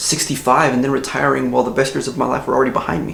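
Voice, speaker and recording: Amid noticeable background noise and audible room echo, a man with an American accent talks very fast at a medium pitch. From US, Mexican American. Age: 20s. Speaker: YouTuber. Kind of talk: casual vlog talk. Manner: conversational.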